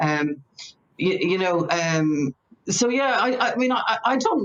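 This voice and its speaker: A woman with a Northern Irish accent talks using lively intonation. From Northern Ireland. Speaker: short story writer. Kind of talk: panel conversation. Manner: halting, many fillers.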